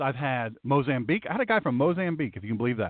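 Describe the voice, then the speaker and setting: A man with a Southern US accent speaks with very wide swings in pitch. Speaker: pastor and talk radio host. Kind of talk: talk radio monologue. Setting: internet radio broadcast. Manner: animated.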